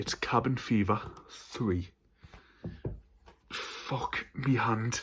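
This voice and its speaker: Using a northern English accent, a man talks at a medium pitch with ordinary pitch variation. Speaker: horror film YouTuber. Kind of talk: casual haul video. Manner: stuttering.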